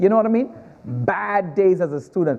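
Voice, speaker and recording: A man with a Trinidadian accent, very wide pitch swings and a moderate pace, against noticeable background noise. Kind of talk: stand-up.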